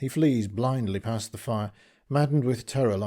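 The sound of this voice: An unforced reading voice shows ordinary pitch variation.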